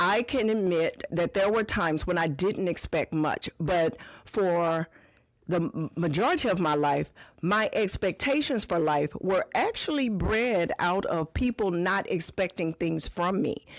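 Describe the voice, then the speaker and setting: A woman with medium pitch speaks at a fairly slow pace with lively intonation and very even loudness, an unremarkable speaking voice. The recording is very clean with a silent background. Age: 60s. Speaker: podcast host and business owner. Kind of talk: podcast monologue answering a listener question.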